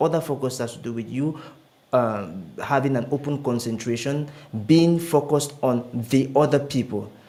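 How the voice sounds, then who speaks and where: A man's ordinary speaking voice, fairly high in pitch, with ordinary pitch variation and a moderate pace. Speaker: public speaker. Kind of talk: interview.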